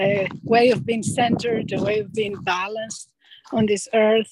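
A woman with a Greek accent and a fairly high pitch. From Greece. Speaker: retreat center director. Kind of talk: casual interview.

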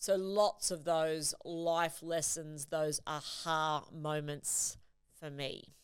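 The speaker has an Australian accent and a monotone, flat intonation. The pace is very slow. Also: woman, very deep, low pitch for a woman. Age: 40s. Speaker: podcast host and leadership coach. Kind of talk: solo podcast monologue. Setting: studio.

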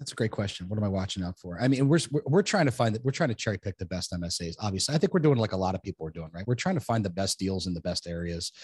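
An American-accented man talks very fast with hardly any pauses, his fairly low voice somewhat breathy and his intonation lively, in a dry, close sound with no echo. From New Jersey. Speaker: self-storage developer. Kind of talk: interview.

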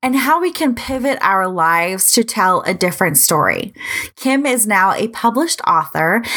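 A woman speaks at a moderate pace with an American accent, her pitch swinging very widely. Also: fairly high pitch for a woman. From US Midwest. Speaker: podcast host. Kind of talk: interview.

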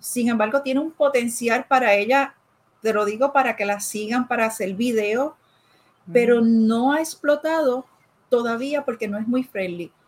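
Her voice is high in pitch. The woman's intonation is lively. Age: 40s. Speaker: life coach. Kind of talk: casual interview chat.

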